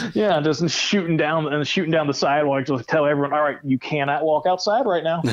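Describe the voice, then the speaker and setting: Over noticeable background noise, a man talks at a fairly quick pace with hardly any pauses, his animated tone set at a fairly high pitch with ordinary pitch variation and very even loudness. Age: 30s. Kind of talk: casual chat.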